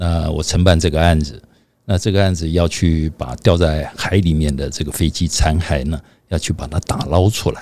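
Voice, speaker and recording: This man's voice has a very deep, low pitch, a dark, mellow tone and vocal fry. He moves at a moderate pace with fairly even intonation. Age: 60s. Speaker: podcast co-host. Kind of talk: casual chat.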